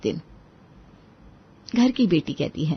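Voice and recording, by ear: Lively intonation carries a voice with a slightly husky edge. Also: woman.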